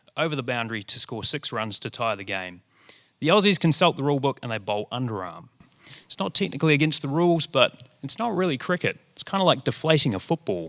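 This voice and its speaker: Speaking very fast with vocal fry and very wide pitch swings, a man with a fairly high pitch and a New Zealand accent comes through on a very clean recording with a silent background. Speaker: presenter, radio reporter. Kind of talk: short presentation talk to an audience.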